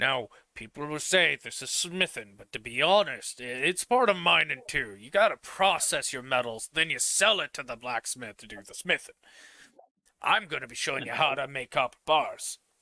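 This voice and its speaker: A man puts on a gruff character voice at a fairly high pitch with very wide pitch swings. He keeps a moderate pace, and the sound is dry and close with no echo. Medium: actual play. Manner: hearty, friendly.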